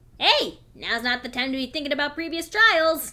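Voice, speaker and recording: A woman uses a put-on character voice at a high pitch. Her pace is moderate. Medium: read story. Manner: playful, smug.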